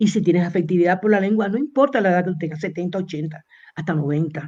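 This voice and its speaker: A woman speaks at a medium pitch with a dark, mellow tone. Her voice is somewhat breathy, and her pace is fairly quick. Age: 60s. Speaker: university professor. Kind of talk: interview lecture.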